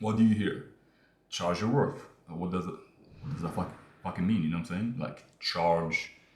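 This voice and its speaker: With audible room echo around him, a man speaks at a moderate pace and fairly low pitch, somewhat breathy, with ordinary pitch variation and long, frequent pauses. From Morocco. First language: not English (Moroccan). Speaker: online business creator. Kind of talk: casual talking-head monologue. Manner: casual, hesitant with fillers.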